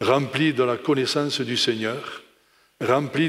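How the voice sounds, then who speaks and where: At a very slow pace, a man speaks with medium pitch and fairly even intonation amid audible room echo. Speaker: preacher. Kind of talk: sermon. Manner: slow, calm.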